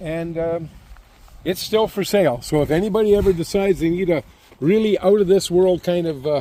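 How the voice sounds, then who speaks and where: A man speaks in a high voice with a dark, mellow tone. His pace is fairly quick, and his pitch variation is ordinary. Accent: Canadian prairie. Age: 70s. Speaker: farm equipment maker. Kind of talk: casual chat.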